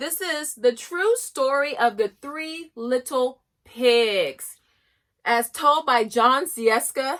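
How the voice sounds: With lively intonation, a woman talks at a fairly high pitch in a bright, sharp tone.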